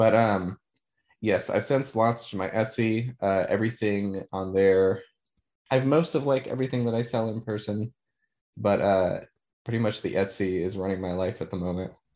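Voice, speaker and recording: A man with an ordinary speaking voice talks at a moderate pace, his fairly low pitch showing ordinary variation against a quiet background. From southeastern Ohio, Hocking Hills area. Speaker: illustrator. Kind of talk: casual chat.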